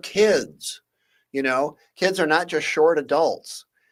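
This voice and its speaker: Against a silent background on a very clean recording, a man with an American accent speaks very slowly at a fairly high pitch with ordinary pitch variation. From Michigan. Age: 60s. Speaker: legal scholar. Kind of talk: talk show interview. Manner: halting, many fillers.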